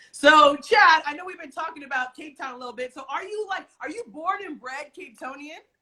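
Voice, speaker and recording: In an American accent, a raised, projected voice moves at a fairly quick pace with hardly any pauses, an animated tone and ordinary pitch variation. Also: woman, high pitch for a woman. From United States. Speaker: talk show host. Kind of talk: casual interview. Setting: Instagram live stream.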